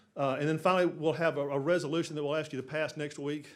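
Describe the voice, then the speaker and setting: His pitch is fairly high for a man. The man's pace is very fast. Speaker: city development consultant. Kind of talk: council meeting presentation. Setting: city council chamber. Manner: halting, many repetitions.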